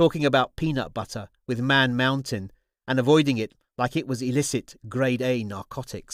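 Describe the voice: A quiet backdrop behind plain reading aloud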